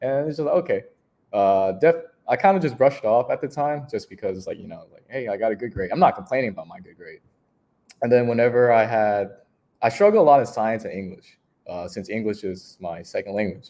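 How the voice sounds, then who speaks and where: At a fairly quick pace, a man with a Vietnamese accent speaks at medium pitch in a dark, mellow tone, with very wide pitch swings and big swings in loudness. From Houston, Texas. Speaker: recreation staff member. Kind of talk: interview storytelling. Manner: casual with many fillers.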